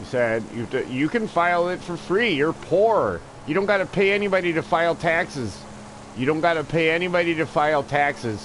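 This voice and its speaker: Shouting loudly, a man with a high pitch speaks at a fairly quick pace in an animated tone with lively intonation. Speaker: video game live streamer. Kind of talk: casual livestream chat. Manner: loud, sounds like yelling.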